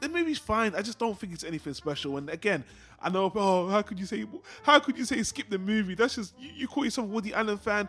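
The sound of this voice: Fast and lively, a man speaks with high pitch. His tone is fairly bright.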